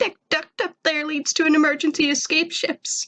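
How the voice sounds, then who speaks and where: Putting on a character voice, a woman pitches it extremely high. Her pace is moderate. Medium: read story. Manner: mournful, self-pitying.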